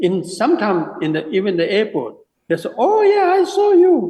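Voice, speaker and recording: A man with a Tibetan accent speaks at a fairly slow pace. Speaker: Tibetan Buddhist teacher and sand mandala artist. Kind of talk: interview conversation.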